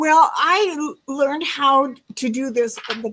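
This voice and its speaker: With lively intonation and a high pitch, a woman talks at a fairly slow pace. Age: 70s. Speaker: retirement coach. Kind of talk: interview. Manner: halting.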